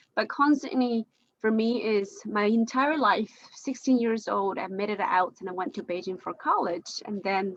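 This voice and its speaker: Here a woman speaks with a Chinese accent. Her pitch is fairly high. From China, Jiangxi province. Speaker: discussion participant. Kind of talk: group discussion. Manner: halting.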